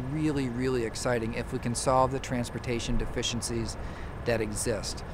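This is a man speaking. Noticeable background noise runs underneath. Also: dry sound with no echo. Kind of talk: political statement to camera. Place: waterside.

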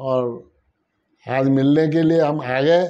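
Very slowly, a man speaks in a dark, mellow tone with fairly even intonation. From Rajasthan, India. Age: 70s. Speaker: patient giving testimonial. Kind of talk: testimony. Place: office. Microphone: lapel.

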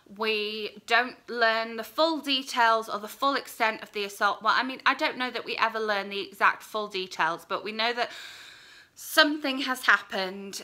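Against a quiet background, a woman with a British accent speaks at a moderate pace in a bright, sharp tone, fairly high for a woman, with ordinary pitch variation and big swings in loudness. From UK. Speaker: book vlogger; book reviewer. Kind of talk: casual vlog review. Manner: rambling, hesitant. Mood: earnest, thoughtful. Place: home room. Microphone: phone near.

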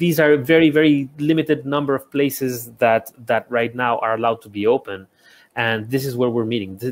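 A man with a Spanish accent speaks at a medium pitch and a fairly quick pace, with ordinary pitch variation. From Ecuador. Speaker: architect and small business consultant; guest. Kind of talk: interview conversation. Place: home room. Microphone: earbuds.

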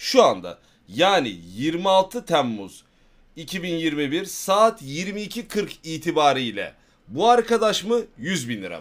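A man speaks at a very slow pace in a high pitch, with very wide pitch swings and big swings in loudness. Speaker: live streamer. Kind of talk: casual stream chat with viewers. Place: home room.

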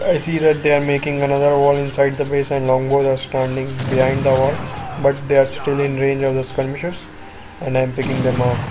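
Noticeable background noise sits under a man's fairly high voice. He talks at a fairly quick pace with monotone, flat intonation. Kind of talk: live gameplay commentary.

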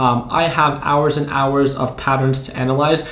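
In a room with audible echo, a man speaks at a moderate pace with monotone, flat intonation. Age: 20s. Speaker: YouTube day trading educator. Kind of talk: casual tutorial to camera. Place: home room.

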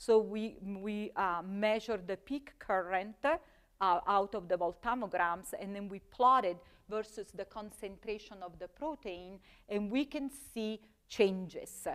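A woman with an Italian accent, medium pitch, ordinary pitch variation and big swings in loudness, in front of a quiet background. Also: fairly slow pace. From Italy. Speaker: chemistry professor. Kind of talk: lecture. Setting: stage with audience. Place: classroom. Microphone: lapel.

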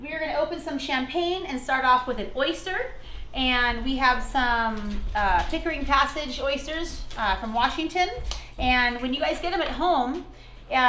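A woman speaks in a raised, projected voice at a moderate pace. Light background noise and audible room echo are present. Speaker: chef hosting a virtual wine dinner. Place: kitchen. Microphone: camera far.

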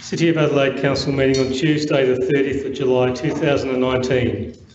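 A man speaks in a flat monotone, with audible room echo and light background noise. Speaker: council meeting officer. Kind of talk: formal procedural announcement. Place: hall. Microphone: podium.

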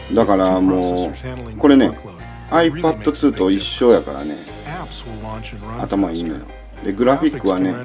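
A man's very deep, low voice in a Toyama accent, at a moderate pace with very wide pitch swings, over music in the background. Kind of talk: dialect voice-over of a product video. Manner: casual, chatty.

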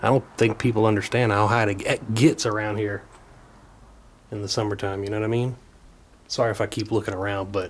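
A man's fairly low, somewhat breathy voice with fairly even intonation. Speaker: urban explorer vlogger. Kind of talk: casual vlog chat. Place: home room. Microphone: phone near.

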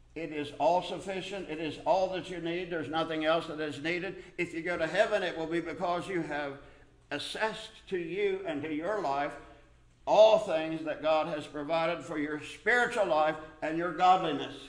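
A man's fairly high voice at a moderate pace, with ordinary pitch variation and audible room echo

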